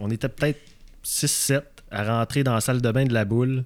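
In a Quebec accent with fairly even intonation, the speaker is heard on a very clean recording with a silent background. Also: man. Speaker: fundraiser for men's health campaign. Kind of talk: casual chat. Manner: hesitant, repeats words.

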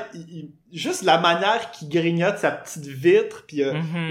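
Audible room echo follows a man with a Quebec accent as he talks at a high pitch and a moderate pace. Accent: Québécois French. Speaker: podcast guest. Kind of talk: casual chat. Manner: animated.

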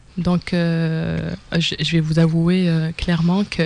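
A woman's somewhat breathy voice. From Algeria. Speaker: professional coach and psychologist. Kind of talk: interview. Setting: studio. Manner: halting.

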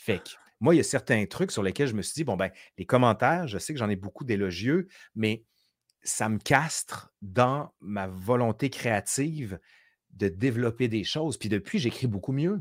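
A man talks at a fairly slow pace in a medium pitch, with lively intonation and an animated tone, on a very clean recording with a silent background and a dry, close sound with no echo. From Quebec City. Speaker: historian and YouTuber. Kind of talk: casual interview chat.

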